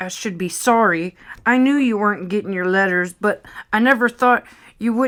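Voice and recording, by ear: The pitch varies in an ordinary way as a natural voice reads the text aloud.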